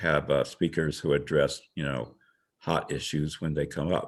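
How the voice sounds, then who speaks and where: A man speaks with a very deep, low pitch and vocal fry at a moderate pace. The recording is very clean, with a silent background. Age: 70s. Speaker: board candidate, retired transit manager. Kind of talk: candidate self-introduction at virtual meeting.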